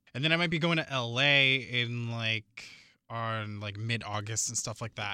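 Bright and sharp in tone, a man's medium-pitched voice comes across animated, with lively intonation. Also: very clean recording, silent background. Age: 20s. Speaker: co-host. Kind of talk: casual chat.

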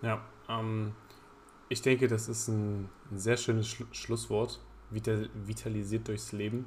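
In a somewhat breathy voice of fairly low pitch, a man speaks at a fairly slow pace with monotone, flat intonation and long, frequent pauses. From Germany, Saxony-Anhalt (Halberstadt). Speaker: podcast host, student. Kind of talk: casual chat.

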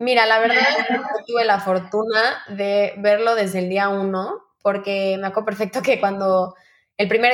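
The recording is very clean, with a silent background. A woman speaks at medium pitch with monotone, flat intonation. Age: 20s. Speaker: eating disorder survivor. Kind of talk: testimony.

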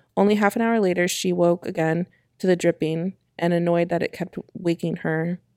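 A woman's shaky, fairly low voice, dark and mellow, at a moderate pace with fairly even intonation, on a very clean recording with a silent background. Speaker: podcast co-host. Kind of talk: ghost story telling, read aloud from a script. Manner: voice shaky with fear, as she herself says.

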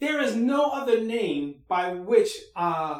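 Lively intonation marks this man's extremely high-pitched voice. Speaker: pastor. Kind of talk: church service opening and prayer. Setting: church.

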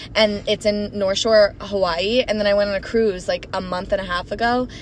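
There is noticeable background noise as a woman speaks with an American accent. Her pitch is fairly high and her intonation fairly even. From Florida and Minnesota. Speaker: podcast co-host. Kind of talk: casual chat.

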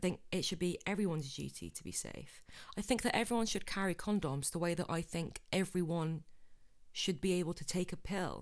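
A woman speaks with vocal fry. Her pitch variation is ordinary. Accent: English. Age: 20s. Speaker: podcast host. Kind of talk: casual chat. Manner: animated.

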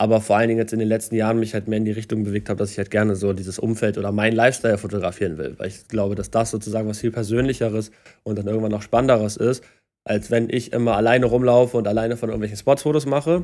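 On a very clean recording with a silent background, a man speaks very fast in a fairly low pitch, his tone dark and mellow and his intonation fairly even. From Hamburg, northern Germany. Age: 20s. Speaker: photographer. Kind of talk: casual chat.

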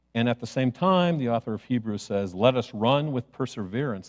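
In an American accent, a man with a normal speaking voice talks at medium pitch and a moderate pace, his intonation lively, in a dry, close sound with no echo. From US Midwest (Chicago). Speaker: pastor. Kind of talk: sermon.

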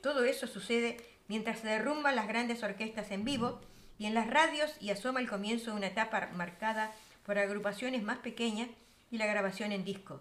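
In an ordinary speaking voice, a woman with a fairly high pitch talks at a fairly quick pace, her pitch varying in an ordinary way. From Uruguay. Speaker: radio show host. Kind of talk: radio music program hosting.

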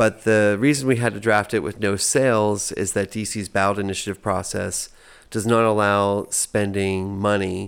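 A man with a plain, everyday voice and fairly low pitch talks at a moderate pace with fairly even intonation in a very clean recording with a silent background. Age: 40s. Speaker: activist and event organizer. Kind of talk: casual interview. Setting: at his home.

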